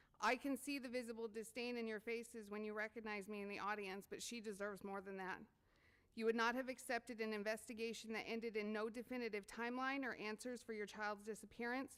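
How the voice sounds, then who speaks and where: Her pace is very fast. The woman's fairly high voice stays monotone and flat. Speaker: parent at public comment. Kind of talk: public comment speech. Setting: board meeting podium.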